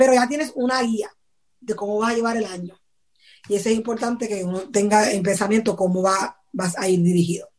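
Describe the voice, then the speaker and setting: The recording holds an unremarkable speaking voice. It goes at a fairly quick pace. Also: woman, fairly high pitch for a woman, ordinary pitch variation. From Puerto Rico (Patillas). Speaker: church youth leader. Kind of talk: casual interview.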